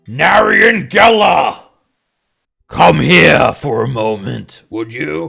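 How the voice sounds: A man uses a put-on character voice that is guttural and raspy, at medium pitch. He speaks at a very slow pace.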